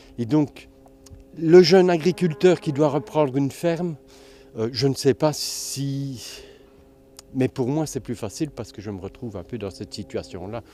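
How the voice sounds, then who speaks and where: A man's medium-pitched, dark, mellow voice at a fairly slow pace, with lively intonation. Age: 60s. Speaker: organic farmer. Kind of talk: interview testimony. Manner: halting, many repetitions.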